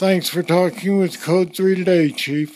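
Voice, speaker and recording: This man has a high-pitched voice with monotone, flat intonation. He talks at a moderate pace. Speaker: podcast host. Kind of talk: interview podcast.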